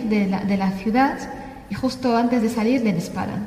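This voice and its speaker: A woman with an Arabic accent speaks in a fairly high voice, with audible room echo and noticeable background noise. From Syria, Damascus. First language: Arabic (speaking Spanish). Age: 30s. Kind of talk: testimony. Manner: halting.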